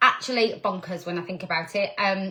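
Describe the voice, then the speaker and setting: In a northern English accent, a woman is speaking. Her pace is moderate. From northern England. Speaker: direct sales team leader. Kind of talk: live stream talk. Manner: casual, chatty.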